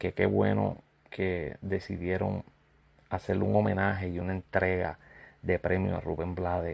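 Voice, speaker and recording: A man with a Puerto Rican accent and a very deep, low pitch speaks at a fairly slow pace. He takes long, frequent pauses against a quiet background. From Puerto Rico. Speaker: YouTuber and music commentator. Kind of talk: casual vlog commentary.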